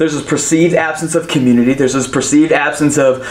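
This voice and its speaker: A man speaks in an energetic tone. Noticeable background noise runs underneath. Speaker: pastor. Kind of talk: sermon, preacher in full flow, urging the congregation to cheer. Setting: online church service, audience at home. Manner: animated, call-and-response, exhorting the audience; loud, energetic, fervent and punchy.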